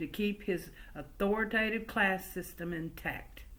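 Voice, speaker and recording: A woman with a slight Southern US accent talks at medium pitch. Her pitch variation is ordinary. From West Virginia coalfields, Cabin Creek area. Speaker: family oral historian and storyteller. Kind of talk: oral history storytelling. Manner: conversational, folksy.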